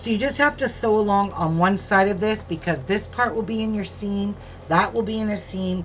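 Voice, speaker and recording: With audible room echo and noticeable background noise, a woman talks at a fairly quick pace in a medium pitch. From England, Birmingham. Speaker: crafter. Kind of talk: sewing tutorial livestream. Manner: casual.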